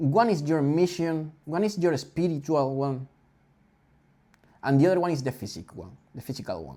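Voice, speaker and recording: A man in a Spanish accent talks at a moderate pace in a dark, mellow tone, with ordinary pitch variation, big swings in loudness and long, frequent pauses. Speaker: podcast host. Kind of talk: casual chat. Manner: halting.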